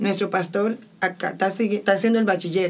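A woman speaks at a fairly quick pace. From Santo Domingo, Dominican Republic. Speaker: missionary. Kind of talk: testimony.

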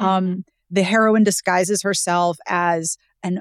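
A woman with an American accent, medium in pitch, at a moderate pace, in a dry, close sound with no echo. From US, Pittsburgh. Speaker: romance book blogger and author. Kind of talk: casual interview.

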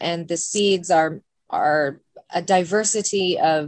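A woman with an American accent and an unremarkable speaking voice, medium in pitch, with fairly even intonation. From Central Oregon (Bend). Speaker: photographer and beekeeper. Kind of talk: radio interview.

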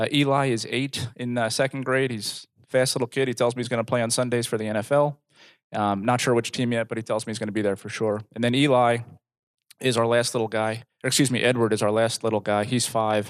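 In a quiet background, a man with a medium pitch talks very fast in a monotone, flat intonation. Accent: American. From New Jersey. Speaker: corporate employee and father. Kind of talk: personal testimony. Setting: group meeting. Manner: halting.

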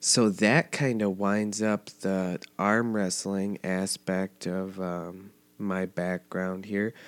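Speaking in an American accent at a very slow pace, a man with a fairly low pitch holds a monotone, flat intonation in a dry, close sound with no echo. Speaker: podcast host. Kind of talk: casual monologue.

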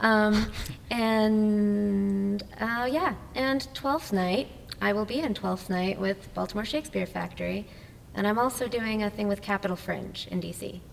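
An American accent at a fairly slow pace, with ordinary pitch variation and noticeable background noise. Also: woman, medium pitch for a woman. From New Jersey. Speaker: actor and assistant director. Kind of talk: casual interview chat. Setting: recorded in a church hall venue.

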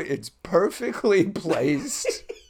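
This man has a slight Long Island accent. The recording is very clean, with a silent background. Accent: slight Long Island New York. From Long Island, New York. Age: 50s. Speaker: actor and former clown. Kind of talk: casual chat.

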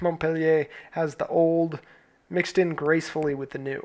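The voice belongs to a man with an American accent. He speaks at a moderate pace. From United States. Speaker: podcast host. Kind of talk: scripted narration.

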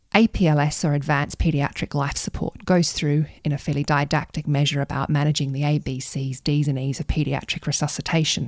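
A woman with an Australian accent talks at a fairly quick pace with hardly any pauses, her very deep, low pitch held to fairly even intonation. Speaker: pediatric intensive care doctor. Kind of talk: podcast interview.

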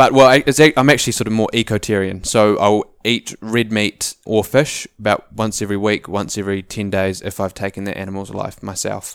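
A man with a New Zealand accent talks at a fairly quick pace with hardly any pauses, his fairly low pitch held in fairly even intonation. The sound is dry and close with no echo, on a very clean recording with a silent background. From New Zealand, Auckland. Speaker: ecology student, hunter and entrepreneur. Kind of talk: casual interview.

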